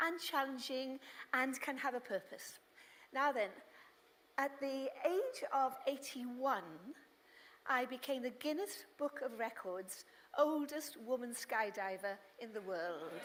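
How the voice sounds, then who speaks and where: A high-pitched woman talks with lively intonation. Her pace is very slow, broken by long, frequent pauses. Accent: British. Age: 80s+. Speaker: motivational speaker, skydiver. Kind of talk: inspirational talk.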